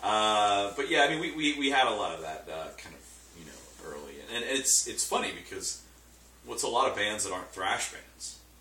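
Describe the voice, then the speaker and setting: A man's loudness rises and falls sharply as he talks at a moderate tempo, with noticeable background noise and audible echo from the room. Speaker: thrash metal band member. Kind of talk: casual interview. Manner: hesitant, filler-heavy; mumbling, quiet.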